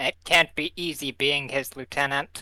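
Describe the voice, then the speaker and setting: Someone uses a put-on character voice at a low-to-middle pitch and a moderate pace. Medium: actual play. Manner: casual, flippant.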